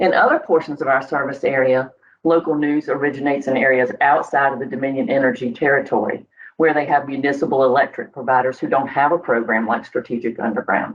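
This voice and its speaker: In a North Carolina accent, a woman with a very deep, low pitch talks at a very fast pace with fairly even intonation. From northeastern North Carolina. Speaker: utility communications coordinator. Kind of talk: scripted podcast interview answer. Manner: formal.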